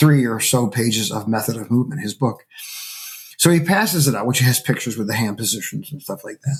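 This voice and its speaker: Very fast and animated, a man talks with an American accent, somewhat breathy at medium pitch with lively intonation. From upstate New York (Syracuse). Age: 60s. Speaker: percussionist and music professor. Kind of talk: casual interview conversation. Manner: animated storytelling with hesitations.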